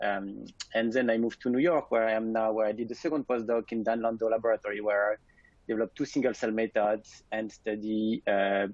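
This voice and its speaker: At a fairly quick pace, a man with a French accent talks in a medium pitch with fairly even intonation. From France. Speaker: scientist, lab director. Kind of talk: webinar presentation. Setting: alone in his office.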